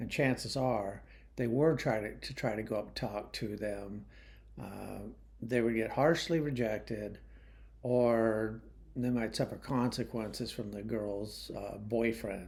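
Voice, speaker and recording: Fairly even intonation at a fairly slow pace, with audible room echo. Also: man, medium pitch for a man. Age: 60s. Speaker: YouTube commentator. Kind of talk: monologue commentary. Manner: casual, hesitant with fillers.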